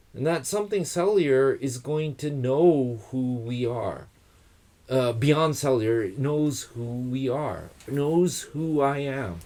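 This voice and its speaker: Speaking at a very slow pace with an American accent, a man has a dark, mellow tone and a fairly high voice with ordinary pitch variation. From United States. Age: 60s. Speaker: guest expert on trees and wood culture. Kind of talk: casual conversation. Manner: reflective, thoughtful.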